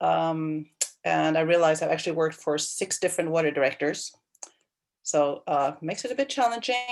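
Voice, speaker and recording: With a Swedish accent, a woman in a fairly low voice speaks at a fairly quick pace with lively intonation. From Sweden, Stockholm. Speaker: county water planning manager. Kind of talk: self-introduction. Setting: video call.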